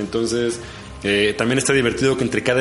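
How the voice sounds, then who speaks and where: Noticeable background noise and audible room echo surround a man's voice. He speaks at a medium pitch with fairly even intonation. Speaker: podcast host. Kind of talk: casual chat.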